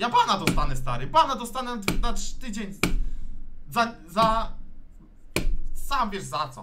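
Pausing long and often, a man speaks at a fairly slow pace while noticeable background noise plays behind him. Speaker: streamer playing FIFA. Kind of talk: angry rant. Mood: frustrated, angry outbursts. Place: home room.

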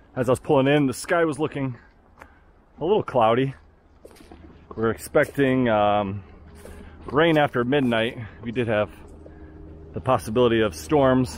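Light background noise and a dry sound with no echo surround a man speaking at a moderate pace, with long, frequent pauses. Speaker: outdoor vlogger. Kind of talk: casual vlog chat. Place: forest. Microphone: phone near.

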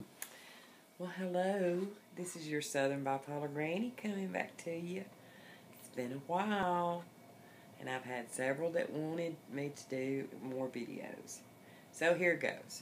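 A woman's normal speaking voice, fairly low in pitch, at a fairly slow pace, with big swings in loudness over light background noise. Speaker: vlogger. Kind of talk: casual vlog chat. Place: home room. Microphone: phone near.

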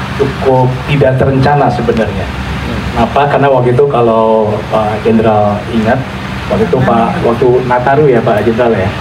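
The speech runs at a fairly quick pace with fairly even intonation and very even loudness. Noticeable background noise is present. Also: man. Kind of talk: formal speech. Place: stage.

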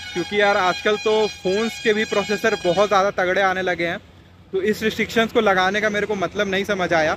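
Faint music plays in the background. The voice moves at a fairly quick pace, with a fairly bright tone and fairly even intonation. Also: man.

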